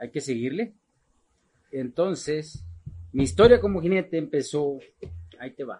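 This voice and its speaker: A man with a fairly high pitch and a dark, mellow, somewhat breathy tone speaks at a fairly slow pace, his intonation lively, his loudness swinging widely, and his pauses long and frequent. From Mexico, Guadalajara, Jalisco. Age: 40s. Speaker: charro rider. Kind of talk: casual interview.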